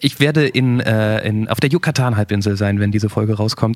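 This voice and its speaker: This man uses a normal speaking voice with a medium pitch. He keeps a moderate pace and ordinary pitch variation. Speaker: podcast host. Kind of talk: casual chat.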